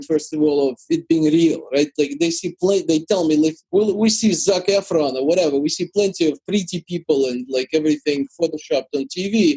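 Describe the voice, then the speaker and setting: A man with a Russian accent speaks in a fairly high voice at a fairly quick pace, with hardly any pauses and ordinary pitch variation. The sound is dry and close, with no echo. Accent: Russian-speaking. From Ukraine. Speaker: YouTuber. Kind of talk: interview answer.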